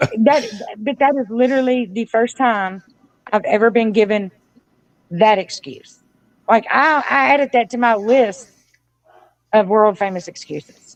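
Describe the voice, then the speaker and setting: The speech moves at a fairly slow pace with ordinary pitch variation. Long, frequent pauses break it up. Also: woman, fairly high pitch for a woman. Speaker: community advocate. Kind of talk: casual chat. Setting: livestream. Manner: loud.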